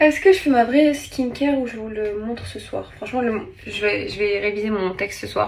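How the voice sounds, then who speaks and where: Noticeable background noise runs through the clip. A woman speaks with a fairly high pitch. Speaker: TV presenter and vlogger. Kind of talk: casual vlog; beauty tutorial. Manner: animated.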